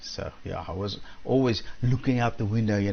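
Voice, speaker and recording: Somewhat breathy, a man speaks at a moderate pace. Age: 70s. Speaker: amateur radio operator. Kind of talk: casual radio net chat. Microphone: audio reported as good.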